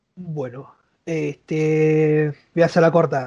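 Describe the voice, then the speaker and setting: A man with a Rioplatense accent has a fairly high voice and a dark, mellow tone. The sound is dry and close with no echo, over a quiet background. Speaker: YouTuber and university student. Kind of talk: casual chat.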